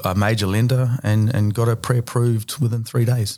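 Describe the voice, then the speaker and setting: Medium-pitched speech from a man in a New Zealand accent, at a moderate pace. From New Zealand, Bay of Plenty. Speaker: finance broker. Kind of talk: interview.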